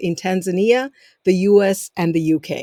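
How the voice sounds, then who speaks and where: A woman with an African accent is recorded with a dry, close sound and no echo. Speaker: podcast host. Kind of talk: interview introduction. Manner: formal.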